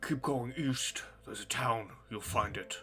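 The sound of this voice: Clear music plays behind a man who puts on a character voice at a moderate pace. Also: medium pitch for a man.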